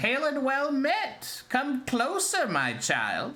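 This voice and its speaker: A high-pitched, put-on character voice at a very slow pace. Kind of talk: formal, archaic. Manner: warm, welcoming.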